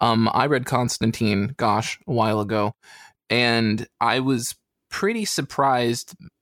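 A man with an American accent talks at a fairly slow pace in a medium pitch, using a normal speaking voice with fairly even intonation and very even loudness. The recording is very clean with a silent background and a dry, close sound with no echo. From US (not British). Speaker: podcast guest, comics reviewer. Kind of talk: casual chat.

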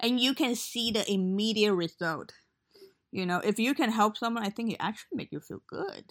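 A woman speaks in a normal speaking voice at a fairly high pitch, with ordinary pitch variation and a moderate pace. The recording is very clean, with a silent background. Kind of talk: casual chat.

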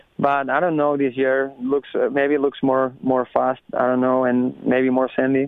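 Delivered with a Spanish accent, the speech is monotone and flat, very even in loudness, fairly slow, and has hardly any pauses. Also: man, medium pitch for a man. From Spain, Barcelona. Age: 30s. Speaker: professional motocross racer. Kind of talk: casual interview. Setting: phone call. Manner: halting, non-native phrasing.

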